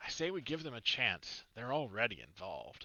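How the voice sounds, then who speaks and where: A booming put-on character voice from a man, medium in pitch, with very wide pitch swings. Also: moderate pace. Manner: loud, commanding.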